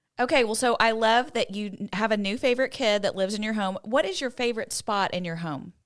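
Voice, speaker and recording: Heard in a very clean recording with a silent background, a woman with a plain, everyday voice talks at a fairly quick pace, using a fairly high pitch and ordinary pitch variation. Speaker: podcast host. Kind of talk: casual podcast talk.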